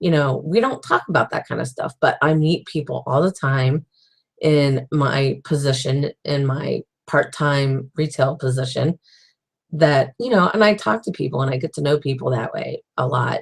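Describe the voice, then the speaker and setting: This woman's voice is very deep and low, somewhat breathy, with ordinary pitch variation at a moderate pace. The sound is dry and close with no echo. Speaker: author and web series host. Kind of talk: casual video diary monologue. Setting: livestream chat. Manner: halting, with many fillers and restarts.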